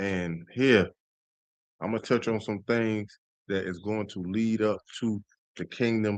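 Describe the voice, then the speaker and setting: A man speaks at a fairly slow pace, his fairly low voice keeping a fairly even intonation. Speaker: street preacher / religious teacher. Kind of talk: sermon-style teaching on a livestream.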